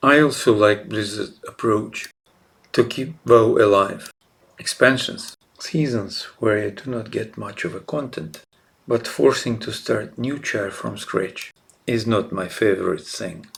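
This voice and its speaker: A somewhat breathy man with a non-native accent, medium pitch and ordinary pitch variation, at a fairly slow pace with big swings in loudness. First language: not English. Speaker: gaming YouTuber. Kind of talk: narrated game guide presentation.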